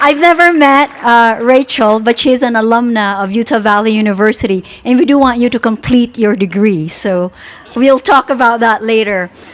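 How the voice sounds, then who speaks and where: Over noticeable background noise, a woman talks at a moderate pace in a fairly high pitch with ordinary pitch variation. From Philippines and Singapore. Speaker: university president. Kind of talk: ceremony speech. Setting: outdoor tent at groundbreaking ceremony.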